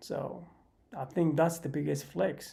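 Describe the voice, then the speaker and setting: At a moderate pace, a man speaks with a fairly high pitch amid audible room echo. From Sweden. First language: not English (English is third language). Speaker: live streamer. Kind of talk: casual livestream monologue. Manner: halting.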